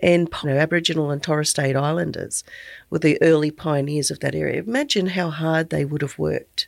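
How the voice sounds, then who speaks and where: With an Australian accent, a woman speaks at a fairly quick pace in a very clean recording with a silent background. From rural Queensland, Australia. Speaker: business owner and podcast host. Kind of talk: casual interview chat.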